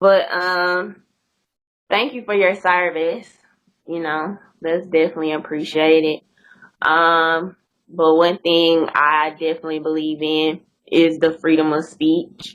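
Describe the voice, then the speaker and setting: This woman speaks with a Mississippi accent at a fairly low pitch. Her speech has long, frequent pauses. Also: fairly even intonation, fairly slow pace. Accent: Mississippi Southern. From US South, Mississippi. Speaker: YouTuber, interview guest. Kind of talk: casual interview chat.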